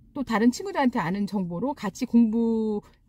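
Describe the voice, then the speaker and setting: A woman's somewhat breathy voice has a dark, mellow tone and lively intonation at a moderate pace. The sound is dry and close, with no echo. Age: 40s. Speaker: real estate agent. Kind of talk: casual talk to camera.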